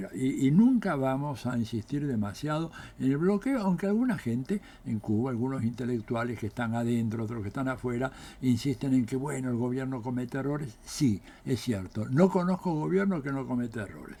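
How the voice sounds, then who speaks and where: At a fairly quick pace, a man with a dark, mellow tone speaks with lively intonation. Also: medium pitch for a man. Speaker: political scientist. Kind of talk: political commentary monologue. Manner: animated.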